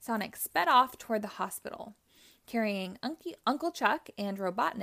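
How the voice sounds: The intonation here is lively. It belongs to a natural reading voice.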